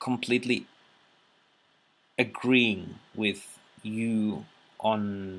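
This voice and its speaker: With a non-native accent, a man speaks at a very slow pace and fairly low pitch. His intonation is flat and monotone, with long, frequent pauses. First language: not English. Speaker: video blogger responding to a teacher. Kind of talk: casual monologue to camera. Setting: recording alone at a computer. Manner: halting, many fillers.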